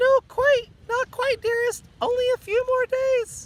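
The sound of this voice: In a put-on character voice, the speaker talks fairly slowly at an extremely high pitch with monotone, flat intonation.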